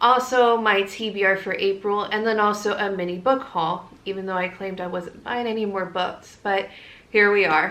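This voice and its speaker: Fairly even intonation from a woman, with audible room echo. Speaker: book vlogger. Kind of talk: casual vlog.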